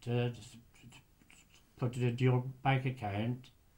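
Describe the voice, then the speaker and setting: Somewhat breathy, a man speaks with monotone, flat intonation. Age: 80s+. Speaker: retired lighthouse keeper; interviewee. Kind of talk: oral history interview. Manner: halting. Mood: calm, recalling the past.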